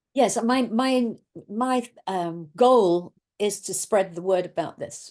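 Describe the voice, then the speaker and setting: A woman with an English accent and ordinary pitch variation. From England. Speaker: guest nurse. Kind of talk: casual interview chat on video call.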